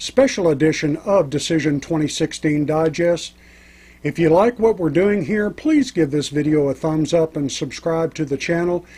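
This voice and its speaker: An ordinary speaking voice moves at a moderate pace. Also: man. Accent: American. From Texas. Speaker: radio show host. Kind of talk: political commentary show.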